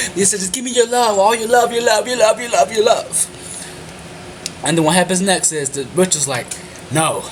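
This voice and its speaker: A man speaks in a high voice with lively intonation. He leaves long, frequent pauses over noticeable background noise. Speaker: anime reviewer. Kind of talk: video review monologue. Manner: fast.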